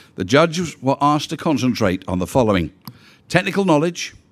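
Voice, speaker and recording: A man with vocal fry speaks at a fairly quick pace. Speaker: awards host. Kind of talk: formal announcement. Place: hall.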